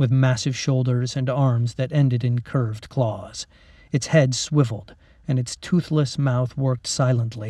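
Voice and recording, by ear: The reading is done aloud in a natural voice. Its intonation is fairly even.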